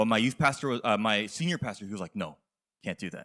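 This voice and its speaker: A man with an American accent talks at a very fast pace in a bright, sharp tone, with very wide pitch swings. The sound is dry and close with no echo, on a very clean recording with a silent background. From US, Korean American. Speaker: youth pastor. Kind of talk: sermon. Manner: halting.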